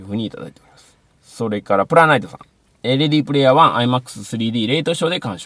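A man speaks very fast in a medium pitch with lively intonation. His loudness swings widely. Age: middle-aged. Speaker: film podcast host. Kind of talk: casual chat.

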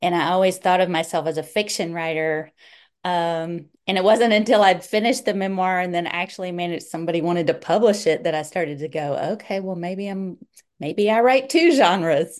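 A woman speaks at a fairly quick pace in a medium pitch, with ordinary pitch variation. The background is quiet. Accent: Southern US. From North Carolina, US South. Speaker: author and writing professor. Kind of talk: casual interview chat.

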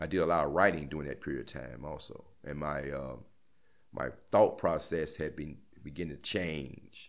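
With an American accent, a man speaks at a moderate pace in a very deep, low voice with vocal fry and fairly even intonation. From Gary, Indiana, US Midwest. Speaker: former death row prisoner. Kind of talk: interview testimony. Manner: halting, many hesitations and restarts.

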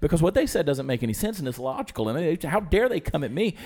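A man with an American accent lets his pitch swing very widely. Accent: Southern US, muted. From US South, Georgia. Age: 40s. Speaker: TV and internet personality, musician. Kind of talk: casual chat.

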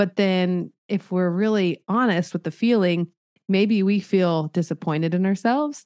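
Over a quiet background, the sound is dry and close with no echo. A woman in an ordinary speaking voice talks at medium pitch and a fairly slow pace, with ordinary pitch variation. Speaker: counselor. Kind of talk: casual interview.

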